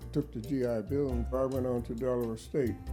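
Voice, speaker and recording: A man talks at a moderate pace. Music can be heard behind him. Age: 80s+. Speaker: duck carver, retired teacher. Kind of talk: oral history interview answer.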